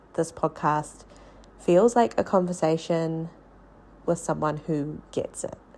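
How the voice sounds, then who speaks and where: Over a silent background in a very clean recording, a woman with a New Zealand accent speaks at a fairly low pitch with ordinary pitch variation. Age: adult. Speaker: podcast host, early childhood teacher. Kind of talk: personal storytelling podcast monologue.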